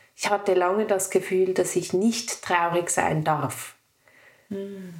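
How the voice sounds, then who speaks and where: A woman speaks at a medium pitch. Her pitch shows ordinary variation. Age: 30s. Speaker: woman with endometriosis sharing her story. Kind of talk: personal interview conversation.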